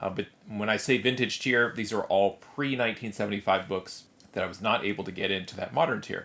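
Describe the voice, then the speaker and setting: The recording is very clean, with a silent background. A man talks at a fairly quick pace in a bright, sharp tone, with ordinary pitch variation. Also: fairly low pitch for a man. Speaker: comic book collector and YouTuber. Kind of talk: casual unboxing video. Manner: subdued.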